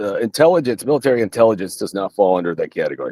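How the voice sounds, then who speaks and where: A man speaks in a Southern US accent at a medium pitch. The sound is dry and close, with no echo. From US South. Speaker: military veteran. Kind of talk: casual interview. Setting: home basement studio, livestream.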